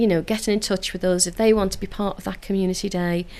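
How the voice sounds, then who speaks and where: In a Liverpool accent, a woman speaks at a very fast pace with monotone, flat intonation. The background is quiet. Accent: Liverpool (Scouse). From Liverpool, England (Toxteth). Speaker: council community engagement officer. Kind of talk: radio interview. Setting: radio studio.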